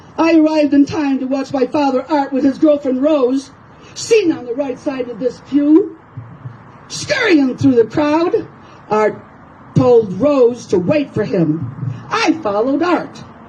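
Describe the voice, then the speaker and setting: Over noticeable background noise, a woman with a high-pitched voice talks at a fairly slow pace with lively intonation. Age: 70s. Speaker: paralegal private investigator. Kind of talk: reading own story aloud. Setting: outdoors.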